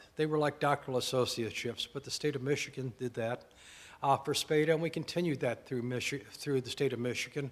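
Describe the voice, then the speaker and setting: A man talks with a strong Southern US accent at a very fast pace. His intonation stays fairly even. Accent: deep Southern. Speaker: former program director. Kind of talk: anniversary speech.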